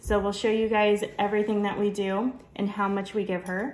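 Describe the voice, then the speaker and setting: A woman talks over noticeable background noise. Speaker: family vlogger. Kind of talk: home cooking tutorial. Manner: casual, conversational.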